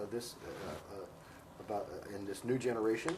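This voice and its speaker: Somewhat breathy and fairly low in pitch, a man speaks at a fairly quick pace with an American accent. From United States. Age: 60s. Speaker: professor and author on Vietnam. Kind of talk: interview. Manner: halting, many fillers.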